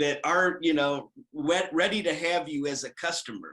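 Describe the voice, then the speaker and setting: A man speaks at a moderate pace in an ordinary speaking voice, his pitch fairly high. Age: 60s. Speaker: certified prosthetist, orthotist and pedorthist. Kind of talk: interview testimonial.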